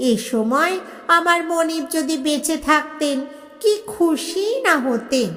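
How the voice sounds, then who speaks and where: In a put-on character voice, a woman speaks at a high pitch, hoarse and wheezy. Her pace is fairly slow, with light background noise. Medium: read story. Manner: breathless, old-fashioned, deferential.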